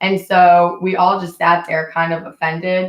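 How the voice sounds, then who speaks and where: Very slowly, a woman speaks at a fairly low pitch in a monotone, flat intonation. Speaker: vlogger. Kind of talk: livestream chat. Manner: casual, rambling storytelling.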